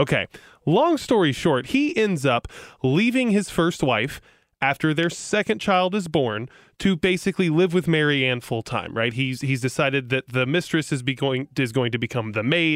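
A normal speaking voice with lively intonation, moderate pace and very even loudness. The recording is very clean, with a silent background. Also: man, fairly high pitch for a man. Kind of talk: casual storytelling chat. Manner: relaxed, conversational.

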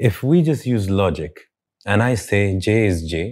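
The recording is very clean with a silent background, and a man does the talking. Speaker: motivational speaker. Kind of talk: interview conversation.

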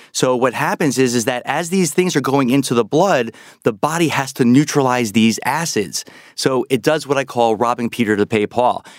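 A man speaks with a New York accent, his loudness very even and his pitch variation ordinary. The recording is very clean, with a silent background and a dry, close sound with no echo. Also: medium pitch for a man. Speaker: health author. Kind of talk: interview. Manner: fast.

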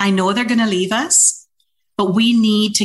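Somewhat breathy, a woman talks at a fairly slow pace with ordinary pitch variation. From Trinidad and Tobago. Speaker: workforce organization executive director. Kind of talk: interview conversation.

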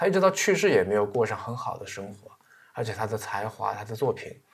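Here a man talks at a very fast pace. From China. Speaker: podcast host. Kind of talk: casual monologue about books. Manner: many filler sounds.

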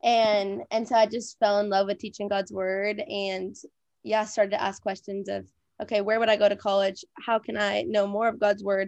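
A woman talks at a moderate pace and a medium pitch, with fairly even intonation and an unremarkable speaking voice. The background is quiet. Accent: American. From Minnesota. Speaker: evangelist and disciple maker. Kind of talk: podcast interview.

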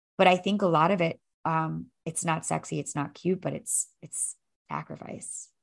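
A woman is speaking. She keeps a moderate pace. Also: big swings in loudness. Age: 30s. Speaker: fitness instructor and coach. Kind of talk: casual chat.

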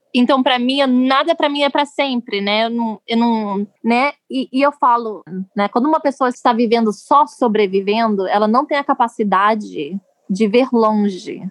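A woman speaks at a moderate pace in an unremarkable speaking voice, fairly high, with ordinary pitch variation. The sound is dry and close, with no echo. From Brazil, Rio de Janeiro. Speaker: politician's spouse, activist. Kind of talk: interview storytelling.

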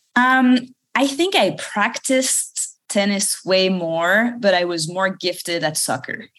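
A woman's medium-pitched voice in a French accent, with lively intonation at a very slow pace. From France, Paris suburbs. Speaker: startup founder and CEO. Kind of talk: interview.

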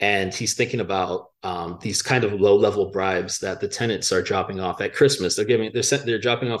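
With an American accent, a man speaks at a fairly low pitch against a quiet background. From Miami, Florida. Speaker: author. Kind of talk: interview. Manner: halting, frequent fillers.

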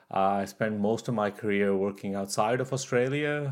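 A man speaks in an unremarkable speaking voice at a fairly low pitch and a moderate pace, with ordinary pitch variation. The recording is very clean, with a silent background. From Canada. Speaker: geologist and podcaster. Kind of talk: interview. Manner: casual with many fillers.

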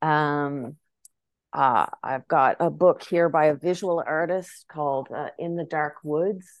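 A woman with a Maritime Canadian accent, very deep and low in pitch, ordinary pitch variation, very slow pace, quiet background. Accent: Canadian (Maritimes). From Prince Edward Island, Canada (Charlottetown). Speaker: filmmaker and actor. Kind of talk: interview conversation.

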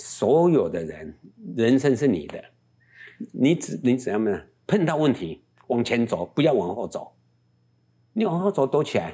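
A man speaks at a moderate pace with a medium pitch, a dark, mellow tone and some vocal fry. His pitch swings very widely, and he leaves long, frequent pauses. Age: 70s. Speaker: travel business owner. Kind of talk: interview. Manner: animated.

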